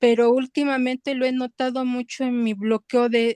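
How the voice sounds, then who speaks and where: The voice of a woman with a high pitch comes at a fairly slow pace. It has a dry, close sound with no echo and a quiet background. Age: 60s. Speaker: student. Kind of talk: testimony. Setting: video call.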